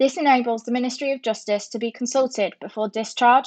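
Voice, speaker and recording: Against a quiet background, a woman with a southern English accent talks at a fairly quick pace, with a fairly high pitch and ordinary pitch variation. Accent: sounds southern English. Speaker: nursing student. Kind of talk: educational narration.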